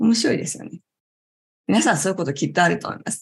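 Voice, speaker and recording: A woman talks at a medium pitch with vocal fry. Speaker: yoga instructor and talk show host. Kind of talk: relaxed talk show livestream. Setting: live online class stream. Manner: calm, gentle.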